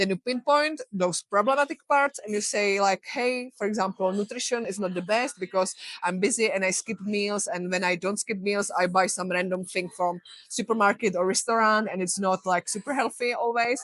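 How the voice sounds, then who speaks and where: A woman with a Czech accent speaks at a moderate pace, with hardly any pauses. Her medium-pitched voice has ordinary pitch variation, and the sound is dry and close with no echo. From Czech Republic. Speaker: health coach. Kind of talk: interview.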